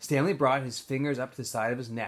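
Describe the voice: This man speaks at a fairly quick pace, with a medium pitch and a fairly bright tone. His intonation stays fairly even.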